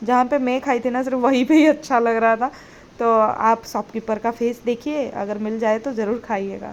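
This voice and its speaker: A woman speaks with a non-native accent at a moderate pace. Her pitch is high, and her intonation fairly even. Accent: non-native Hindi, self-described poor Hindi. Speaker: food and family vlogger, working mother. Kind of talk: vlog voiceover narration. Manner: hesitant, many fillers.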